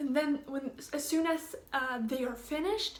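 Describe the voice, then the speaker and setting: A woman speaks in a Swedish accent at a fairly slow pace. Her pitch variation is ordinary. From Sweden. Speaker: au pair vlogger. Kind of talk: casual vlog update. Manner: hesitant, many fillers.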